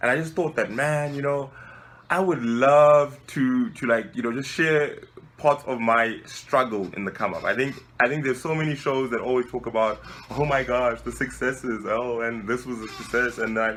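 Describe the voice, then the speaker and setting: With a South African accent, a man speaks at a moderate pace in a medium pitch with ordinary pitch variation. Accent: South African, surprising for a Nigerian. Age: 20s. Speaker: civil engineer and web show founder. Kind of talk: interview answering questions. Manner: relaxed, casual.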